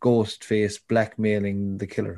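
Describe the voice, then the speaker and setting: A man with a Cork accent, fairly slow pace and fairly even intonation. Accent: Irish, Cork. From Ireland, Cork. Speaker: podcast guest, film fan. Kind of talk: casual chat.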